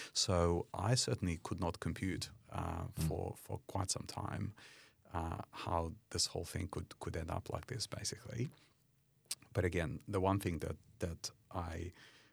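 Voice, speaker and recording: A man with a very deep, low pitch and a somewhat breathy voice speaks at a fairly slow pace with ordinary pitch variation. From Ukraine. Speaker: company CEO and charity founder. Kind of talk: interview.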